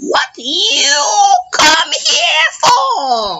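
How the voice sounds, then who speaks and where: The voice is an exaggerated, put-on character. Its pitch runs high. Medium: read story. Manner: cackling.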